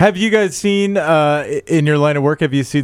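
A man with an American accent talks in a normal speaking voice. He keeps a moderate pace with ordinary pitch variation. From Iowa, US Midwest. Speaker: podcast host. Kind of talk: casual chat. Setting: studio.

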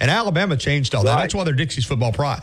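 With an American accent, a man talks at a fairly high pitch, his intonation lively against noticeable background noise. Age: 50s. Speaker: sports radio host. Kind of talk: sports radio talk.

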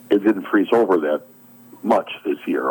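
Noticeable background noise sits behind a man with an American accent who speaks at a moderate pace. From US Midwest, southeastern Wisconsin. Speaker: boating safety volunteer officer. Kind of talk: radio interview.

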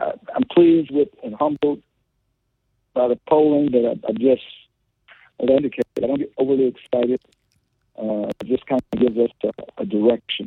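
A man's fairly high voice at a moderate pace. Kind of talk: rally speech: campaign stump pitch with crime-and-bail-reform talking points. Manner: earnest, emphatic and combative, firm campaign-trail delivery with frequent 'uh' fillers.

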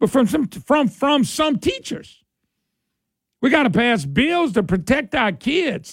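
An animated man with a Southern Louisiana accent and very wide pitch swings. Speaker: talk radio host. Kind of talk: talk radio call-in show. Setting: studio.

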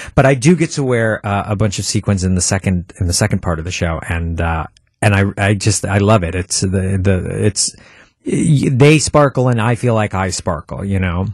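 Somewhat breathy, the voice carries an American accent, lively intonation and a moderate pace. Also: man, fairly low pitch for a man. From Milwaukee, Wisconsin. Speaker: stage actor and composer. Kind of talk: casual interview. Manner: halting, many false starts.

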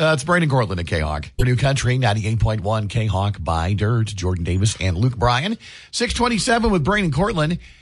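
A man talks at a medium pitch and a moderate pace. His voice is somewhat breathy, with very wide pitch swings. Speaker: radio host. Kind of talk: casual chat. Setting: studio.

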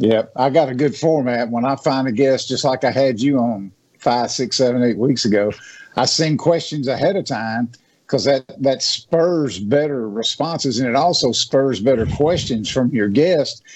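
Here a man speaks at a moderate pace. His pitch is medium with ordinary variation. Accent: Southern US. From Natchez, Mississippi. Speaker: hunting and outdoors speaker. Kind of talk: radio interview.

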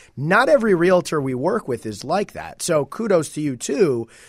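In a very clean recording with a silent background, a man with an ordinary speaking voice talks at a fairly high pitch and a moderate pace. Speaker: real estate agent, guest co-host. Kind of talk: casual chat.

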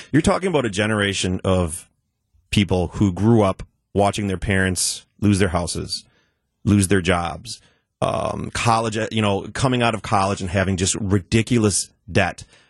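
This is a plain, everyday voice. It keeps fairly even intonation at a moderate pace. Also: man, fairly low pitch for a man. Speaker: technology expert. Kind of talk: casual chat. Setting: studio.

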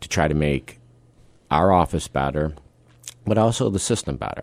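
In a very clean recording with a silent background, a man with an American accent talks at a fairly quick pace in a very deep, low voice with vocal fry. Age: 50s. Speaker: district attorney. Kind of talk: radio interview. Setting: radio studio.

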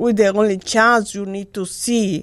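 On a very clean recording with a silent background, a woman with a Spanish accent speaks very slowly at a medium pitch. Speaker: DJ's mother, guest. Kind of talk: casual interview.

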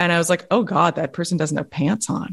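A woman talks at a very fast pace with an American accent. Her pitch sits fairly low. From New York City. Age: 40s. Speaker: science journalist and author. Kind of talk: podcast interview.

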